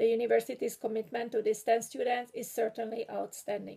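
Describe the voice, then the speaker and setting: In a strong Hungarian accent, a woman speaks at a moderate pace with a fairly high pitch, a dark, mellow tone and monotone, flat intonation. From Hungary. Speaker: graduating PhD student and writing instructor. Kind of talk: prepared graduation speech. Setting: video recording. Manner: formal.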